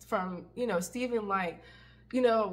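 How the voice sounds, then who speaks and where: A woman's voice at a medium pitch, with ordinary pitch variation. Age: 30s. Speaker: ex-Jehovah's Witness vlogger. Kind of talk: personal storytelling. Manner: halting, many fillers.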